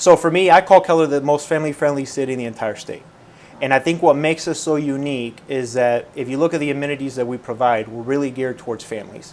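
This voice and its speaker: A man's fairly high voice in a Spanish accent at a very fast pace, with ordinary pitch variation and noticeable background noise. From Puerto Rico, then California and the Midwest. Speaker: mayor. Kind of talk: interview.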